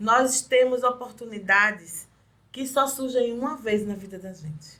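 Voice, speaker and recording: At a fairly slow pace, a woman talks in a bright, sharp tone with a high pitch and ordinary pitch variation. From Recife, northeast Brazil. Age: 40s. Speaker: street vendor and activist. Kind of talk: interview.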